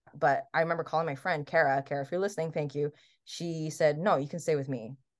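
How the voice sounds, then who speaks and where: Against a quiet background, a woman speaks with very deep, low pitch and fairly even intonation. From Taiwan and Hawaii. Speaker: guest, UX researcher and LGBTQ advocate. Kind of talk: casual interview chat, personal storytelling.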